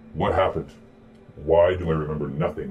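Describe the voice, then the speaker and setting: In a put-on robotic character voice, a man speaks at a fairly quick pace with a very deep, low pitch. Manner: shuddering, agitated.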